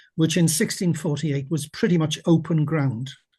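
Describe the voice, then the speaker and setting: With a south-west Welsh accent, a man speaks in a dark, mellow tone at a fairly high pitch with fairly even intonation, over a quiet background. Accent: Welsh English (south-west Wales). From Wales. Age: 80s+. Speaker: retired teacher and local historian. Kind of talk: lecture. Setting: video call.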